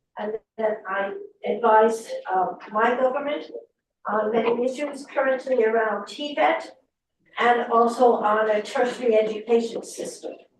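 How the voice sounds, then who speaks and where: Fairly high female voice in an American accent, at a moderate pace with ordinary pitch variation and audible room echo. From United States. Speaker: higher education policy expert. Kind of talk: conference talk. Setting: conference room with online audience.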